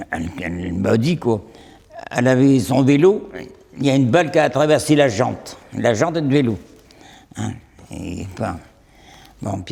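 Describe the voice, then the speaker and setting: A man with a dark, mellow tone, medium pitch and vocal fry talks at a fairly slow pace, his pitch swinging very widely and his speech broken by long, frequent pauses. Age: 80s+. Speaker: elderly wartime eyewitness. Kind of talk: testimony. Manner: halting.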